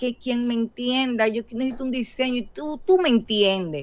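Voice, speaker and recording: The delivery comes at a moderate pace in an ordinary speaking voice with ordinary pitch variation. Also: woman. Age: 50s. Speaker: podcast co-host. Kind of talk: casual chat.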